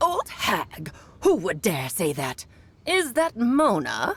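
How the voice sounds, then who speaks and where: In a put-on character voice, the speaker goes very slowly at a fairly high pitch with very wide pitch swings. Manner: imitating someone else's old-woman voice.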